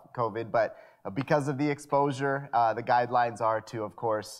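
A man speaks at a moderate pace. Behind him the background is quiet. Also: fairly even intonation. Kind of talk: worship announcements. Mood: friendly, light humor. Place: church.

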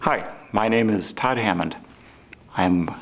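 With an American accent, a man is talking. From US Midwest, St. Louis, Missouri; Missouri. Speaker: physician. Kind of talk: promotional self-introduction. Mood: calm, friendly.

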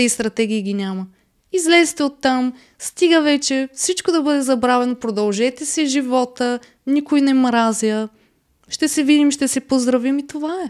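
Against a quiet background, a woman speaks with a high pitch, ordinary pitch variation and a moderate pace. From Bulgaria. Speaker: reality TV contestant; podcast guest. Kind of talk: casual interview. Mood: relaxed, candid. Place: studio. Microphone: studio mic.

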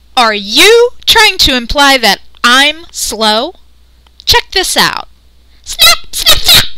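A cartoonish character voice with a high pitch moves at a very slow pace, broken by long, frequent pauses. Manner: brash, boastful, eager.

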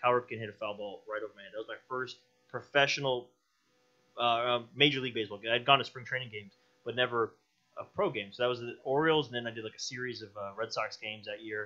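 At a very fast pace, a man speaks in a medium pitch with a bright, sharp tone and fairly even intonation. His loudness swings widely against a quiet background. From Tampa Bay area, Florida; Florida. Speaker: independent filmmaker; podcast guest. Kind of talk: casual chat. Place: studio. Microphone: studio mic.

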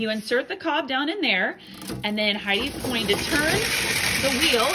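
The speaker keeps a moderate pace over loud background noise. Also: woman. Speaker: adult narrator filming. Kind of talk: casual demonstration commentary. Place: home room. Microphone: phone near.

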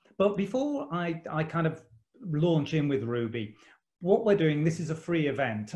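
In a British accent, a man with a fairly high pitch speaks at a moderate pace, somewhat breathy, against a quiet background. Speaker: college principal and event host. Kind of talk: online interview webinar. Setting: video call from home. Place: home room. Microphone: video call.

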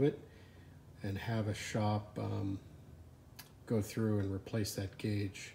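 A man's fairly low voice sounds somewhat breathy and dark, mellow in tone, with light background noise behind it. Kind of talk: casual vlog chat. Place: garage. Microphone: phone near.

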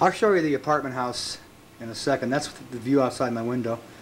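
A man talks at a moderate pace over noticeable background noise. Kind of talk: casual home video narration. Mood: wry, joking. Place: home room. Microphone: old recording.

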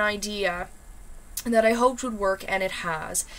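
This is a woman's voice. She talks at a fairly slow pace. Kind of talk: casual vlog chat. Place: home room. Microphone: webcam.

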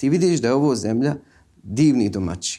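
A man's dark, mellow voice with very wide pitch swings at a fairly quick pace, set against a quiet background. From Visoko, Bosnia and Herzegovina; Bosnia and Herzegovina. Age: 30s. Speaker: film director; guest. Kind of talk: interview; interview answer. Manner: halting. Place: studio.

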